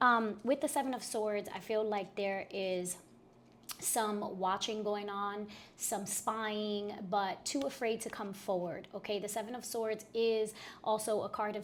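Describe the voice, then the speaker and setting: A woman with a normal speaking voice talks at a fairly slow pace in a fairly high pitch, her intonation fairly even. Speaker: tarot reader. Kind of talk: tarot reading monologue. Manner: casual with many fillers.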